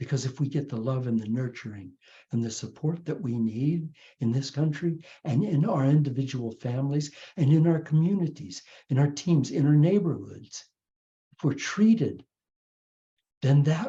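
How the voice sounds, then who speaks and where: A dark, mellow, somewhat breathy voice at a moderate pace, with ordinary pitch variation and long, frequent pauses. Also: man. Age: 80s+. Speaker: spiritual teacher. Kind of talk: inspirational talk. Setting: video call. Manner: halting.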